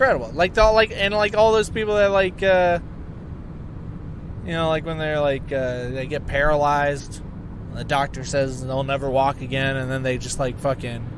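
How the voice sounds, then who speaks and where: Noticeable background noise runs under this recording. A man speaks over it with lively intonation. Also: fairly high pitch for a man, moderate pace. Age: 30s. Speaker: podcast host. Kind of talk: casual monologue. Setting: in a car, driving. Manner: rambling, halting with fillers.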